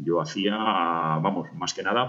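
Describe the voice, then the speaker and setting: A man's very deep, low-pitched voice. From Spain, Burgos. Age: 50s. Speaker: amateur marathon runner. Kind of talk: personal storytelling. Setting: self-recorded audio message. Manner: halting.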